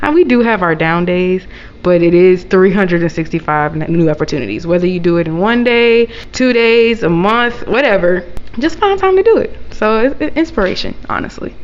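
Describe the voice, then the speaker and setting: Over noticeable background noise, a woman of medium pitch talks at a fairly quick pace with lively intonation. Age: 20s. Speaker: chef and caterer. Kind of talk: interview. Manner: hesitant, many fillers.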